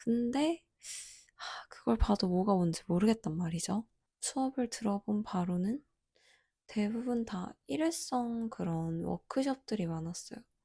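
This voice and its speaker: The recording is spotless, and the background is completely silent. The delivery unfolds fairly slowly. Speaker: art graduate student vlogger. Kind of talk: casual vlog review.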